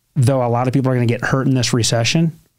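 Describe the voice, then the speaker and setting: In an American accent, a man speaks with monotone, flat intonation. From US Midwest, Ohio. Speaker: entrepreneur and mortgage company founder. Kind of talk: podcast interview. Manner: casual, conversational.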